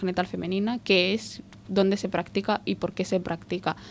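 A woman talks moderately fast in an unremarkable speaking voice, holding a medium pitch and fairly even intonation. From Somalia, grew up in Spain. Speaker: refugee rights advocate. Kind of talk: interview.

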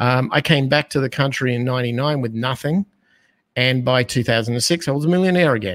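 Speaking at a fairly quick pace, a man with an Australian accent uses a medium pitch with ordinary pitch variation. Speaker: business owner and financial educator. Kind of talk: casual interview. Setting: video call, live stream.

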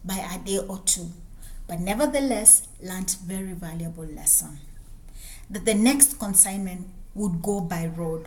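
A woman with a Kenyan accent, medium pitch, ordinary pitch variation and a moderate pace, against noticeable background noise. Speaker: businesswoman and podcaster. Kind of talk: personal storytelling monologue.

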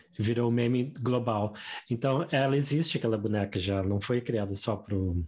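A man's medium-pitched voice at a moderate pace, with ordinary pitch variation and very even loudness. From southern Brazil, Rio Grande do Sul. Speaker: Portuguese teacher and podcast co-host. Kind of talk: casual chat.

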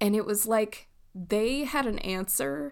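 The speaker talks with an American accent. The recording is very clean and the background silent. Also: woman. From Southern California. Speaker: podcast host. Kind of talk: solo monologue podcast. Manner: casual.

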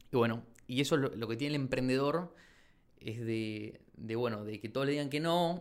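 With an unremarkable speaking voice, a man talks at a moderate pace, his medium pitch showing ordinary pitch variation. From Argentina, Chaco province. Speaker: shoe brand founder and architect. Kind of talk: interview.

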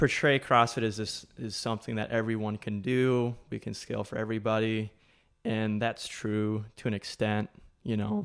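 At a moderate pace, a man speaks in a medium pitch with monotone, flat intonation. The recording is very clean, with a silent background. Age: 20s. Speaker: gym coach. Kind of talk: casual chat.

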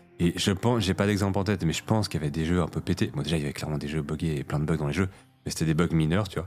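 This man talks very fast. His voice sits very deep and low. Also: ordinary pitch variation. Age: 30s. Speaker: podcast co-host. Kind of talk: casual chat.

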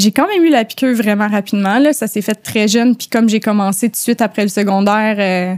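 A woman with an unremarkable speaking voice talks at a moderate pace and medium pitch with ordinary variation, in a dry, close sound with no echo. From Quebec, suburbs of Montreal. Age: 30s. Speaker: tattoo artist. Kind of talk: casual interview chat.

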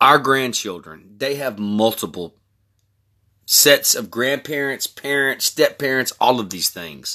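On a very clean recording with a silent background, a man at medium pitch speaks at a fairly slow pace with lively intonation and a bright, sharp tone. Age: 40s. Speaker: podcast host. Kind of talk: personal monologue. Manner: casual, conversational.

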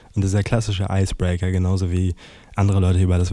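Flat and monotone, a man speaks with a very deep, low pitch and a dark, mellow tone. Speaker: podcaster. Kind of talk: casual monologue.

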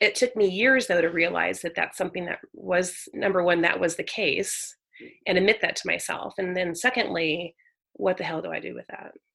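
A woman with an American accent, fairly low in pitch, bright and sharp in tone, with vocal fry and big swings in loudness. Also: ordinary pitch variation, moderate pace. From Northern California. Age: 40s. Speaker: author. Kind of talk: casual interview. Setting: remote call.

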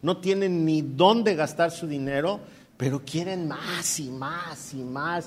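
With ordinary pitch variation, a man speaks in an unremarkable speaking voice that sits fairly high in pitch. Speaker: pastor. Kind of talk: sermon. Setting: church.

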